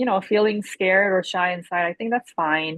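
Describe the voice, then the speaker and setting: A woman with an American accent uses an ordinary speaking voice at a moderate pace, with ordinary pitch variation. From Korea and the US. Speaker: rice cake business owner. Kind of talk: podcast interview. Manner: casual, many fillers.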